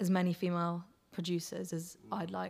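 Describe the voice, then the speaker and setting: This is a woman talking with a West Country accent. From near Bristol, England. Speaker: singer-songwriter. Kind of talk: interview.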